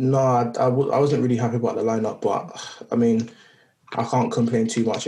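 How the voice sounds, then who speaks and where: A man's medium-pitched voice at a moderate pace, monotone and flat, with very even loudness and noticeable background noise. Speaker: podcast co-host, football pundit.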